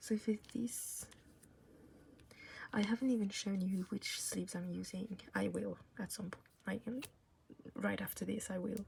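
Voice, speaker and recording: Moderate pace with long, frequent pauses and a non-native accent. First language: not English. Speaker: K-pop photocard collector YouTuber. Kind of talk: casual tutorial-style vlog. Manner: casual, hesitant with fillers.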